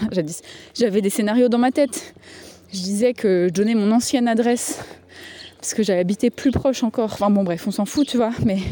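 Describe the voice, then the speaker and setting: There is noticeable background noise as a woman speaks with long, frequent pauses. Her fairly high voice has ordinary pitch variation. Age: 30s. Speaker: podcast host. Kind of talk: voicemail message monologue. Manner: casual, hesitant with many fillers.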